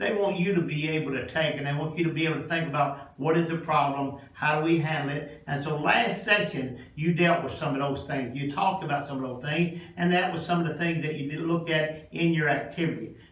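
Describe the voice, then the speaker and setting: Over noticeable background noise and audible room echo, a man with a Kentucky accent and a fairly high pitch talks at a fairly quick pace with hardly any pauses and fairly even intonation. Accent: Southern US (Kentucky). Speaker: pastor presenting a career class to students. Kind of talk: classroom presentation. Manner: passionate, rising pitch.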